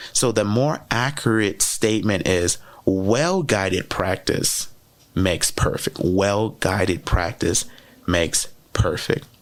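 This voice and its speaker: A man speaks at a very slow pace in a fairly low pitch. His loudness stays very even, with ordinary pitch variation. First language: French. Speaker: podcast host and educator. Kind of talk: podcast monologue, teaching talk. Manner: conversational, with many fillers and repeats.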